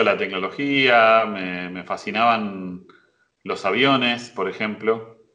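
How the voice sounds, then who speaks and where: This man's voice has a bright, sharp tone. His pitch varies in an ordinary way. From Buenos Aires, Argentina. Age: 50s. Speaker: university professor. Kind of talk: interview. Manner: hesitant, many fillers.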